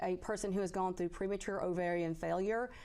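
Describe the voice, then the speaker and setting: A woman speaks in a Southern accent. Her pitch sits in the medium range. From Tennessee. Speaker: physician. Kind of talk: call-in advice. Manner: hesitant, many fillers.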